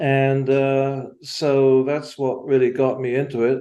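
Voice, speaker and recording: With an English accent, a man speaks at medium pitch with a dark, mellow tone. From England. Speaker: amateur astronomer, sky village member. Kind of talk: casual interview. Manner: halting, many fillers.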